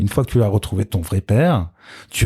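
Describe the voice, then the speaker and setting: A man's fairly low, somewhat breathy voice with a dark, mellow tone and ordinary pitch variation. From France, Rhône-Alpes (Lyon, Grenoble). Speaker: DJ. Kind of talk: casual chat.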